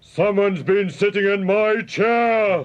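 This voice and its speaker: A man bellows in a put-on character voice pitched high. He takes a fairly slow pace. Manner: roaring, indignant.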